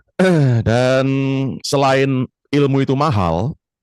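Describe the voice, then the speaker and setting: A man speaks at a very slow pace. The sound is dry and close with no echo, over a quiet background. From Surabaya, East Java. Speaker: trading coach. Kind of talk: casual chat. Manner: animated.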